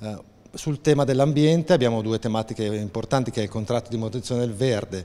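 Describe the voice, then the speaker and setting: The man speaks with ordinary pitch variation. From northern Italy, Lombardy (Pavia province); Lombardy, Italy. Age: 40s. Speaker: city councillor. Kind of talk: interview. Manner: halting, many hesitations. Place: office. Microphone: handheld.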